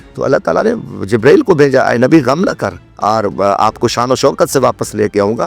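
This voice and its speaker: A man speaks over background music. The sound is dry and close, with no echo. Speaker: politician, former national assembly member. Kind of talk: interview answer.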